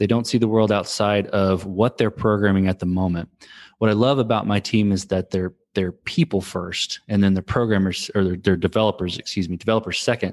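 An American-accented man with an unremarkable speaking voice, fairly low pitch, fairly even intonation and a fairly quick pace, in a dry, close sound with no echo and a quiet background. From Texas. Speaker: startup founder and CTO. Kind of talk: interview. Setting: remote podcast recording. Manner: frequent fillers and restarts.

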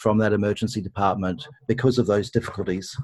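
A man with an Australian accent, fairly low-pitched with ordinary pitch variation, at a fairly quick pace. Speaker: intensive care consultant. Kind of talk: interview discussing medical ethics.

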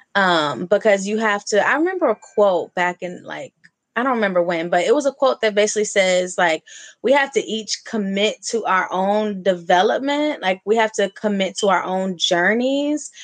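A woman in an ordinary speaking voice, medium-pitched, with lively intonation at a moderate pace, in a dry, close sound with no echo and a quiet background. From US West Coast, Oakland. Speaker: brand strategist and podcast host. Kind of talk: casual chat.

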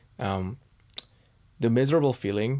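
A man has a normal speaking voice and lively intonation at a fairly quick pace. The recording is very clean, with a silent background. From Canada. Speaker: startup founder. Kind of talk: interview.

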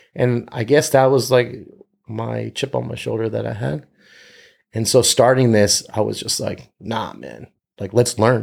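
With vocal fry and ordinary pitch variation, a man talks at a medium pitch. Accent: American. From US, Northern Virginia. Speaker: entrepreneur and community organizer. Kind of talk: podcast interview. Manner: animated storytelling.

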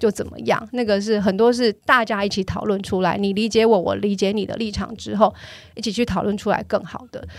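A woman at medium pitch is heard on a very clean recording with a silent background. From Taiwan, Tainan. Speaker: car company marketing manager. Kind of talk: interview. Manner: storytelling, animated with laughs.

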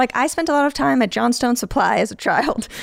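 Over a very clean recording with a silent background, a woman with an American accent speaks at a moderate pace in a fairly high pitch with vocal fry. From Chicago suburbs, Illinois. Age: 30s. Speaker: HVAC technician. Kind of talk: casual chat. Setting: studio.

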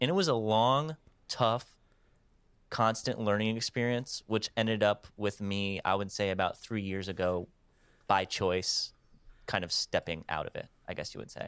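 In a very clean recording with a silent background, a man with a fairly low pitch and a plain, everyday voice talks at a moderate pace with ordinary pitch variation. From US Midwest (Wisconsin). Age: 30s. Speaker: music photographer. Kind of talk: casual chat.

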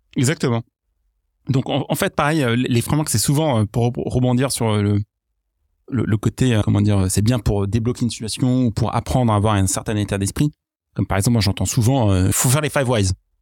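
In a very clean recording with a silent background and a dry, close sound with no echo, a man with an ordinary speaking voice, medium pitch and ordinary pitch variation talks at a moderate pace with very even loudness. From mixed: Iraq, England, US, France from age 10. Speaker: product leader. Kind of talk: podcast interview.

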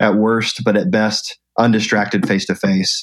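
A man speaks with an American accent and a medium pitch. His pitch varies in an ordinary way, and his voice is an unremarkable speaking voice. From US South, Atlanta. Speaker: event company founder and speaker. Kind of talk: interview conversation.

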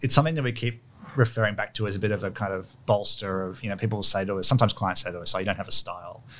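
With an Australian accent, a man talks very fast in a fairly low voice with ordinary pitch variation. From Sydney, Australia, with childhood years in London. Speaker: architect. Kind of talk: interview. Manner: casual, hesitant with fillers.

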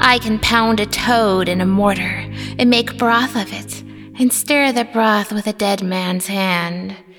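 A woman in a put-on character voice at medium pitch, with clear music in the background. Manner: teasing, singsong, sly and coaxing.

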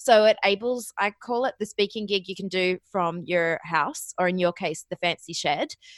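A woman speaks in an Australian accent at a medium pitch. The recording is dry and close, with no echo. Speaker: podcast booking agency founder. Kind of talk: interview. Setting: remote internet call.

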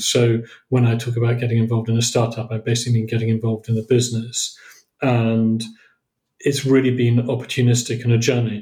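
A man's somewhat breathy, medium-pitched voice, fairly quick and monotone with flat intonation. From southern England. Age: 50s. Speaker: entrepreneur and investor. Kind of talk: interview. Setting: remote call.

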